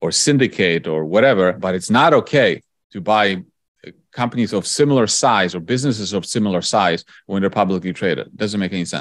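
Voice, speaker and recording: On a very clean recording with a silent background, a man with a Polish accent speaks at a fairly quick pace with a fairly low pitch and lively intonation. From Poland. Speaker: investor and author. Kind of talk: interview.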